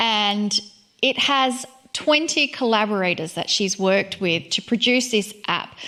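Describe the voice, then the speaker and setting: A woman's fairly high voice in an Australian accent, fairly slow, with ordinary pitch variation and very even loudness. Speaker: co-host. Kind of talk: casual chat.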